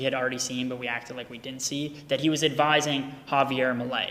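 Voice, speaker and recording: Noticeable background noise sits under the speech. A man with a fairly high voice talks very fast, his intonation fairly even. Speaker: crypto content creator. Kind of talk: personal statement video. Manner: loud; casual, profane.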